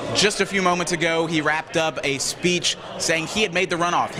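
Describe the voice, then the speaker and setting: High-pitched male voice with monotone, flat intonation against noticeable background noise. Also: fairly quick pace, very even loudness. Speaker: TV news anchor and reporter. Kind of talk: TV news report.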